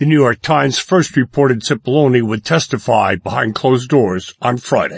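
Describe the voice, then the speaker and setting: Somewhat breathy delivery at a moderate pace, with ordinary pitch variation and hardly any pauses. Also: man, medium pitch for a man. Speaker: radio news anchor. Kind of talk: brisk daily radio newscast, read from script. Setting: studio. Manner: crisp, measured newsreader cadence; neutral, formal delivery.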